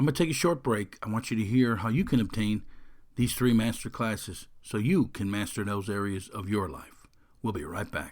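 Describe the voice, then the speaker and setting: Recorded very cleanly against a silent background, a man talks at a moderate pace with a fairly low pitch and lively intonation. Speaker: podcast host and mental toughness coach. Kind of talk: motivational podcast talk. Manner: energetic, enthusiastic.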